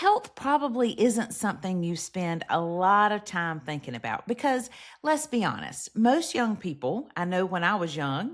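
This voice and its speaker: A woman speaks at a moderate pace and medium pitch, with very wide pitch swings and hardly any pauses. The recording is very clean, with a silent background. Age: 50s. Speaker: podcast host. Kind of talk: scripted podcast monologue.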